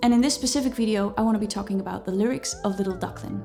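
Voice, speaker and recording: A woman's fairly high voice, with ordinary pitch variation, comes through over noticeable background noise. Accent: Dutch. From Netherlands. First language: Dutch. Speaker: musician and singer. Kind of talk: vlog talk to camera. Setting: filming with lights and microphones.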